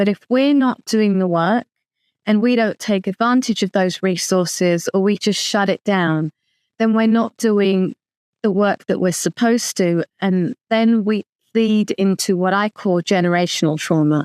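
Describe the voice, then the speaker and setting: A woman speaks in a London accent at a fairly slow pace. Her loudness stays very even, and the sound is dry and close with no echo. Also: medium pitch for a woman, ordinary pitch variation, quiet background. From London, England. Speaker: author and lawyer. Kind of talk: interview.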